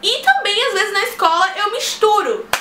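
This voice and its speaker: A woman's raised, projected voice amid audible room echo and noticeable background noise. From Brazil. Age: young. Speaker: vlogger. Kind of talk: casual vlog talk.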